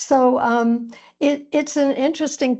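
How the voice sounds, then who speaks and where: With a Midwestern accent, a woman speaks in fairly even intonation. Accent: American Midwest. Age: 70s. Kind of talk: interview.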